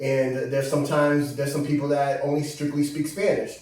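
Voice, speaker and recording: Over noticeable background noise and audible room echo, a man with a Boston accent talks at a fairly quick pace in a fairly high pitch. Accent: Boston-area American English. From Brockton, Massachusetts. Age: 30s. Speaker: visiting cousin, filmmaker and investor. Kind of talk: casual interview.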